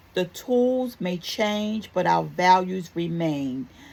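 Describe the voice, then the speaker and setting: A woman with a slight Baltimore accent talks at a very slow pace in a warm, upbeat tone with ordinary pitch variation. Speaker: talk show host. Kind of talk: motivational talk show segment.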